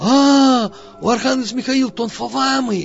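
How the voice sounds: Using a put-on character voice, a man speaks at an extremely high pitch.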